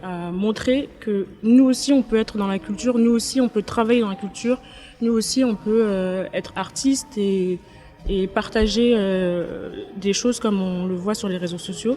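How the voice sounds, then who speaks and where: A woman's medium-pitched voice at a fairly slow pace, with ordinary pitch variation and music in the background. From Paris, France. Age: 20s. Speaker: content creator. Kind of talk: interview. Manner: hesitant, many fillers.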